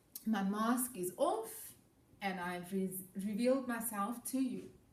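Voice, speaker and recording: A woman talks at medium pitch with ordinary pitch variation, her voice somewhat breathy. Audible room echo surrounds her. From South Africa. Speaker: educator. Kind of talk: presentation to students.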